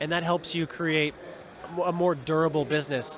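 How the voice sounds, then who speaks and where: Noticeable background noise accompanies a man with an American accent whose pitch is fairly high. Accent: Seattle with slight New York. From Seattle, US Pacific Northwest. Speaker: bar owner and bartender. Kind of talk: interview. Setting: live event. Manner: fast.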